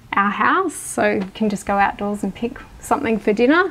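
Her medium-pitched voice carries an Australian accent. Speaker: homeowner. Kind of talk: home tour interview.

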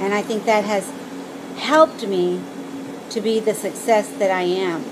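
A woman speaks at a moderate pace. Noticeable background noise can be heard. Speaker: vlogger on weight-loss surgery. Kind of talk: casual vlog chat. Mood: earnest, reflective. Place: garden. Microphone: phone near.

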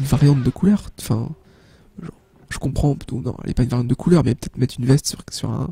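A man's medium-pitched, very fast speech with vocal fry, a dark, mellow tone and ordinary pitch variation. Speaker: gaming youtuber. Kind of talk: let's play commentary.

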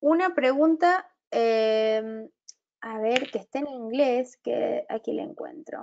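A woman talks at a very slow pace in a high voice. Her intonation is lively. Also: quiet background. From Argentina. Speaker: webinar moderator. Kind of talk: live Q&A moderation. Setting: live video stream. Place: home room. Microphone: earbuds.

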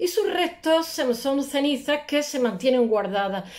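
Against a quiet background, a woman with a high voice talks at a moderate pace. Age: 60s. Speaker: art history video blogger; art blogger. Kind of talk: casual lecture. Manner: hesitant, many fillers. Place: home room. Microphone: earbuds.

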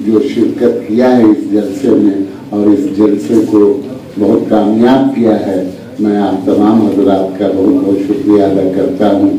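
Very slow speech from a man with a fairly low pitch and fairly even intonation, with audible room echo and light background noise. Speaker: guest. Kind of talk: formal speech. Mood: gracious, thankful. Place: hall. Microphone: podium.

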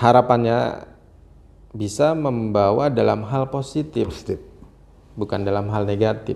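Delivery is fairly slow with long, frequent pauses. Pitch variation is ordinary. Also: man, medium pitch for a man. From Banten, Indonesia. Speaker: businessman and local political candidate; interview guest, young contractor. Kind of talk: interview. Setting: workshop. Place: home room. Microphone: lapel.

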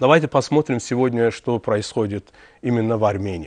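Talking at a fairly quick pace, a man with an Azerbaijani accent comes through dry and echo-free over a quiet background. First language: Azerbaijani (speaking Russian). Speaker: TV host. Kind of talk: TV interview. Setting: TV studio. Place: studio.

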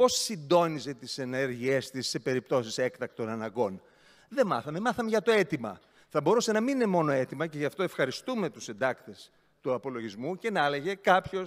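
The background is quiet as a man talks in a fairly high voice. His pitch swings very widely. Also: moderate pace. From Greece. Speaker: regional councillor, opposition party leader; regional councillor. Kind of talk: council speech. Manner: sarcastic, animated. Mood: mocking, ironic. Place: hall. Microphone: podium.

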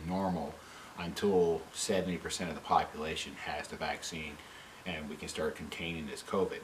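Light background noise sits under this recording. A man speaks at a moderate pace with a very deep, low pitch. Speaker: vlogger. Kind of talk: opinion vlog rant. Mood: frustrated, critical. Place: home room.

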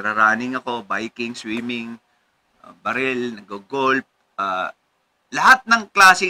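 A bright, sharp voice at a fairly slow pace, with ordinary pitch variation and big swings in loudness. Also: man. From Philippines. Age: 40s. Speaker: lawyer and local politician; lawyer, local politician. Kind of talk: casual interview. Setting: at the guest's home. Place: home room.

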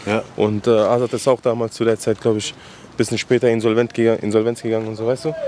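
A man talks at a very fast pace, the sound dry with no echo and some light background noise. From Afghanistan (Kabul), raised in Frankfurt-Sossenheim; Afghanistan. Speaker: rapper; guest. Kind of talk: casual interview. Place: street. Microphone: handheld.

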